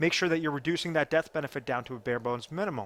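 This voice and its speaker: A man speaks with a normal speaking voice. His pitch is fairly high and his intonation lively. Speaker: financial advisor. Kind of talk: tutorial.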